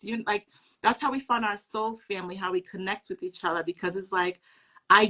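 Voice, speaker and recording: A woman talks fairly quickly at medium pitch in a bright, sharp tone, with ordinary pitch variation and a dry, close sound with no echo. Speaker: spiritual teacher. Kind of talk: casual chat. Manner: loud at times.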